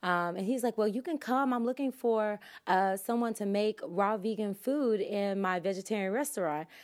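A normal speaking voice with an American accent, at a moderate pace with hardly any pauses and ordinary pitch variation. The recording is very clean, with a silent background. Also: woman, fairly high pitch for a woman. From US South. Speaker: yoga instructor and holistic health coach. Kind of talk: casual interview.

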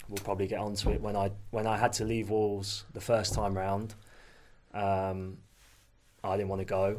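A man speaks at a fairly low pitch in a room with audible echo. His intonation stays flat and monotone, broken by long, frequent pauses. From Leicester, East Midlands England. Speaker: former professional footballer. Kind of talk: casual interview chat.

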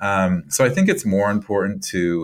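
A man with an American accent speaks at a fairly slow pace on a very clean recording with a silent background. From US Midwest, Iowa. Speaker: writer and nonprofit director. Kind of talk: interview. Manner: halting, many repeated words.

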